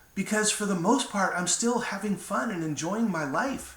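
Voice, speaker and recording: A man's voice with audible room echo. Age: 60s. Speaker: motivational speaker. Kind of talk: inspirational talk to camera. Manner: casual, with fillers.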